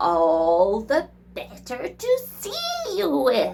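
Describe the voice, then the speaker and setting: In a put-on character voice, a woman speaks at a very slow pace and a fairly high pitch. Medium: read story. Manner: put-on friendliness, sly.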